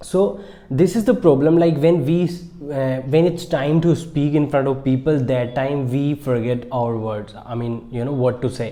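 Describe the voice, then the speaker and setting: This man has a fairly high pitch and an Indian accent, speaking at a moderate pace with ordinary pitch variation. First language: Marwari. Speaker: English teacher YouTuber. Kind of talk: tutorial. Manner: halting.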